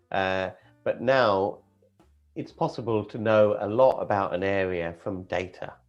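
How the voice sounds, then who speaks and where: A man is speaking. Music plays in the background. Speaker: property investing channel host. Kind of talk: casual talk-show host, coffee morning chat.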